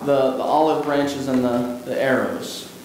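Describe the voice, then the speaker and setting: Speaking at a fairly slow pace, a man is heard with audible room echo. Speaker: pastor. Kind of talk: sermon. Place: church.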